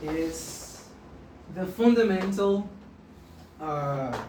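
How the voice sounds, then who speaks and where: A woman with a Portuguese accent speaks at medium pitch with very wide pitch swings. Noticeable background noise and audible room echo are present. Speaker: maths teacher. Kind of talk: tutorial. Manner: halting, frequent self-corrections.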